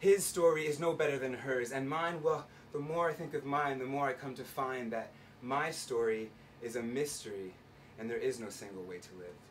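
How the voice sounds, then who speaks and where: A man speaks in an ordinary speaking voice at a fairly high pitch. His pitch variation is ordinary. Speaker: spoken word poet. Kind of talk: live spoken word poetry performance. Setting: live venue, bar.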